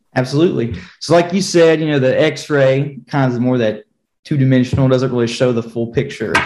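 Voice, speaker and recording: A man with an American accent speaks at a fairly quick pace in an unremarkable speaking voice, medium in pitch with ordinary pitch variation. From rural southwest Virginia. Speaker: physician assistant. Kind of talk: panel discussion, medical explanation.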